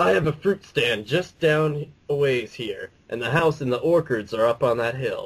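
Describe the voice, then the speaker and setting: A man puts on a raspy character voice with a fairly high pitch. He keeps a moderate pace with hardly any pauses. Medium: read story. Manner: teasing, folksy.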